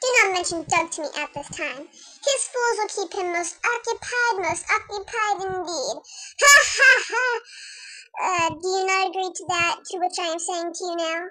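A put-on character voice at an extremely high pitch comes with long, frequent pauses. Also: moderate pace. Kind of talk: comic overacting. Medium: fan dub. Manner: pompous, grandiose, villainous.

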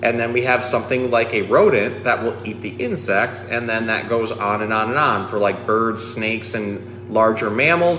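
A man talks at a moderate pace in a fairly low voice with ordinary pitch variation. Background noise is clearly audible.

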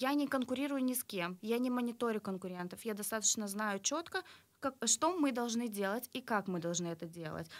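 Her voice sits at a fairly high pitch for a woman, with lively intonation and a moderate pace. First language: Russian (speaking Romanian). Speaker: art studio owner; interview guest. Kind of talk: interview. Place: studio. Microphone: studio mic.

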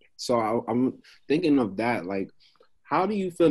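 A man talks with a New York accent at a moderate pace. The background is quiet. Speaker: podcast co-host. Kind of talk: casual interview chat. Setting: video call. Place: home room. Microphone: video call.

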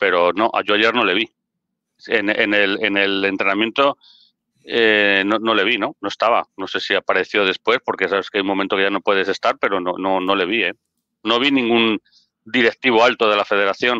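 The voice has a bright, sharp tone and fairly even intonation at a moderate pace. The background is quiet and the sound is dry with no echo. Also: man, fairly low pitch for a man. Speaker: football pundit. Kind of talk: casual debate. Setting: video call. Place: home room. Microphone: headset.

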